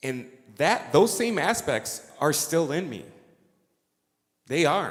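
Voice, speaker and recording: With audible room echo, a man with a fairly high voice speaks at a very slow pace, his pitch swinging very widely. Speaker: astrologer and musician. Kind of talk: conference talk.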